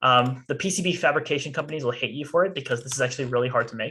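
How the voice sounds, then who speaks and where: The speaker is a man with a medium pitch. His pitch variation is ordinary. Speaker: student robotics team workshop instructor. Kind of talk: tutorial. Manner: fast.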